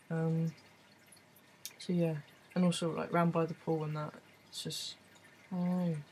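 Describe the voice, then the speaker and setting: A man with an English accent speaks at a moderate pace in a high pitch and a monotone, flat delivery. He leaves long, frequent pauses, and there is noticeable background noise. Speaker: vlogger. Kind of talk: video diary. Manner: casual, hesitant with many ums.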